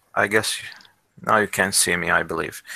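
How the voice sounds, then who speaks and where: The speaker has a non-native accent, captured with a dry, close sound and no echo. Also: man. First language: not English. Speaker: English conversation trainer. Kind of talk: online class session. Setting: video call. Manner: halting, many fillers.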